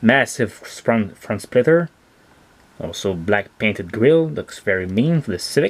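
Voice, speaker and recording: A man with a Quebec accent talks at a fairly slow pace and medium pitch, his pitch swinging very widely. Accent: French Canadian accent in English. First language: French. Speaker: toy car collector and reviewer. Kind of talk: product review. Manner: animated.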